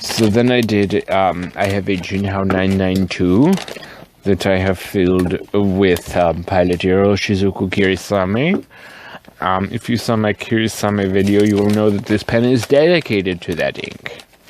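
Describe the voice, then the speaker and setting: The man's fairly low voice is accompanied by noticeable background noise. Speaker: fountain pen and ink video creator. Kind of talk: casual show-and-tell vlog. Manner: animated, lots of fillers.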